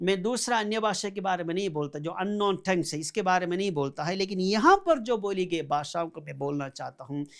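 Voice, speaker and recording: This man speaks in a high pitch with lively intonation. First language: Malayalam (speaking Hindi). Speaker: pastor. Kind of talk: sermon.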